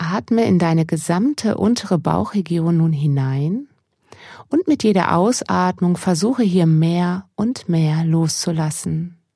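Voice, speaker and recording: A woman's fairly low, dark, mellow voice, calm and soothing, somewhat breathy, very slow, with very even loudness and lively intonation. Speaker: mindfulness coach. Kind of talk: guided meditation. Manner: slow, calm and soothing, with long pauses; soft-spoken, gentle, unhurried.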